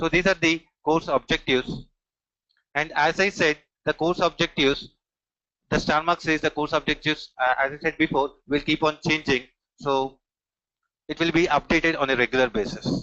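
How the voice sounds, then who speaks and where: A man with an Indian accent speaks at a moderate pace and a fairly high pitch, with long, frequent pauses. His intonation is fairly even and his loudness very even. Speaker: technical trainer. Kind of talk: online training demo session. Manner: frequent filler hesitations.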